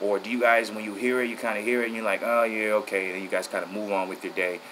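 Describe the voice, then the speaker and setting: A man speaks in a flat monotone. Noticeable background noise runs underneath. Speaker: boxing vlogger. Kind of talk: casual vlog chat. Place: home room. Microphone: phone near.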